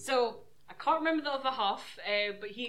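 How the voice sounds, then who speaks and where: Delivered at a moderate pace, this is an ordinary speaking voice with ordinary pitch variation. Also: woman. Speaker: wrestling show reviewer. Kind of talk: casual chat.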